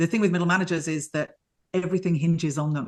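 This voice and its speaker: A woman talks at a very fast pace with a British accent. Her pitch is fairly low, with ordinary pitch variation. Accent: UK. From United Kingdom. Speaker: leadership mentor. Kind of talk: podcast interview.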